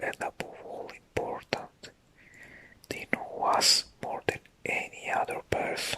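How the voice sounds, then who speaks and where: The speaker is whispering at a very slow pace. Noticeable background noise is present. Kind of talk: ASMR whispered talk about new year intentions. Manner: whispered, soft.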